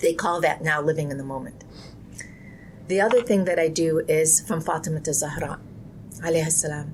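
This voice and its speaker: Speech at a fairly quick pace shows ordinary pitch variation and is broken by long, frequent pauses. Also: woman, very deep, low pitch for a woman. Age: 50s. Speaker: Islamic community leader. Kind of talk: interview. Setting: podcast. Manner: reflective, earnest.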